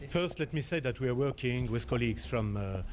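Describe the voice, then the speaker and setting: In a room with audible echo, a man speaks at a medium pitch with a French accent. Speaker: accident investigator. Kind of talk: press conference statement. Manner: halting.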